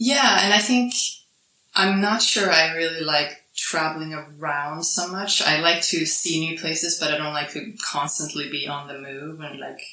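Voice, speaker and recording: Audible room echo carries the very deep, low voice of a woman with a Swedish accent. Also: ordinary pitch variation, moderate pace. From Sweden. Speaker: podcast guest, digital nomad. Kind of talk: casual interview. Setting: island in Thailand.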